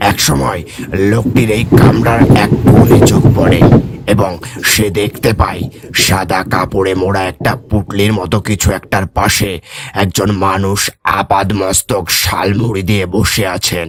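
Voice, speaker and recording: A man's raspy put-on character voice, fairly low in pitch, at a moderate pace. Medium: read story.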